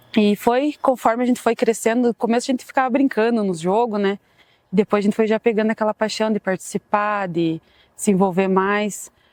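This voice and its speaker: A woman with an unremarkable speaking voice talks at a fairly quick pace, her pitch fairly high and her intonation fairly even, in a dry, close sound with no echo over a quiet background. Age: 30s. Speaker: club supporter. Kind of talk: documentary interview.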